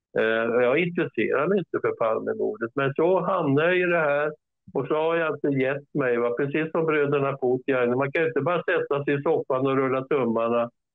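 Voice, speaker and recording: Music plays behind a man talking at a fairly quick pace with hardly any pauses. His fairly high pitch shows ordinary variation, and his loudness stays very even. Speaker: author and researcher. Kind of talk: interview. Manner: halting, many repetitions and fillers.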